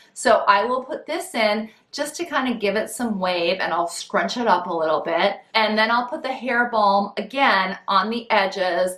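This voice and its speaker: A fairly high-pitched woman at a fairly slow pace, with noticeable background noise. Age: 50s. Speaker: style vlogger. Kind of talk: tutorial. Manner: casual, friendly.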